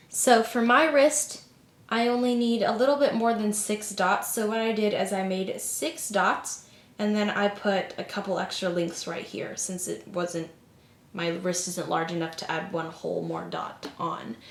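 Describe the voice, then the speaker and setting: A woman speaks fairly slowly with lively intonation. Noticeable background noise and audible room echo fill the recording. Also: medium pitch for a woman. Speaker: craft tutorial youtuber. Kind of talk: tutorial.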